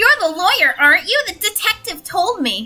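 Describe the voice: A squeaky, put-on character voice moves at a moderate pace. Faint music plays in the background.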